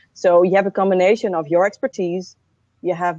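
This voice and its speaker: A woman's medium-pitched voice with a dark, mellow tone moves at a moderate pace. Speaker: online course creator. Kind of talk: live video panel chat. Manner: halting, repeated syllables.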